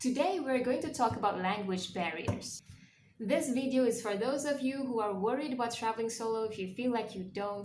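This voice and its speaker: With audible room echo, a woman speaks at a high pitch and a fairly quick pace, her pitch varying in an ordinary way. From Malaysia. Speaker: travel vlogger. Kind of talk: casual vlog talk to camera.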